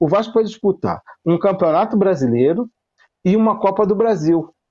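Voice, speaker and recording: A man's high-pitched voice with a dark, mellow tone at a fairly quick pace. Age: 50s. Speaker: sales representative, football fan panelist. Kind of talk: casual chat.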